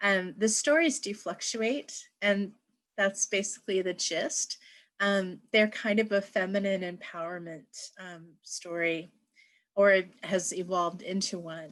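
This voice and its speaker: A woman with an American accent has an unremarkable speaking voice at a medium pitch, with ordinary pitch variation. She talks at a fairly slow pace with big swings in loudness against a quiet background. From Pacific Northwest, United States. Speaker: writer and poet. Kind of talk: lecture talk.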